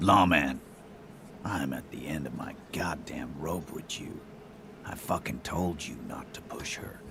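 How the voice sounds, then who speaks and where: In a whispered, put-on character voice, a man speaks at a fairly slow pace with long, frequent pauses. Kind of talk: cursing. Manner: angry, through clenched teeth.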